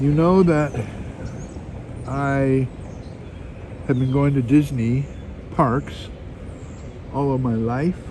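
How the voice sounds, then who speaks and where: A man with a fairly high pitch talks very slowly, with long, frequent pauses and fairly even intonation. Audible room echo and noticeable background noise fill the recording. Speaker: vlogger. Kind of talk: casual live stream chat. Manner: halting.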